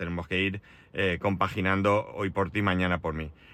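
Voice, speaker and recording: A man's fairly low voice at a fairly quick pace. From Spain, Alicante. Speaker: podcaster. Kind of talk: casual solo monologue. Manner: hesitant, many fillers.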